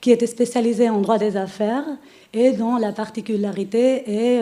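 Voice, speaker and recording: Speaking in a Spanish accent, a woman has a dark, mellow tone and a fairly high pitch, with fairly even intonation. She talks at a moderate pace, and the room echo is audible. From Spain. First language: Spanish (speaking French). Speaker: lawyer. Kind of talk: conference presentation. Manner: hesitant, many filler sounds.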